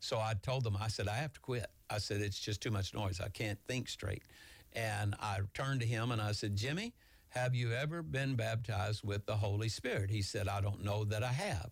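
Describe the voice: At a moderate pace, a man with a fairly low pitch and vocal fry talks with ordinary pitch variation.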